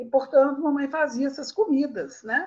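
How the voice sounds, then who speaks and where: The voice has a somewhat breathy quality. It belongs to a woman. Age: 60s. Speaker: writer and storyteller. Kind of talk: casual chat.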